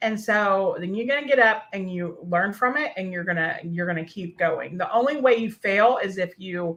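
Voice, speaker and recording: At a moderate pace with hardly any pauses, a woman talks at medium pitch with ordinary pitch variation. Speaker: podcast host and workshop coach. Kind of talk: live-streamed workshop talk. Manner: casual, with many fillers.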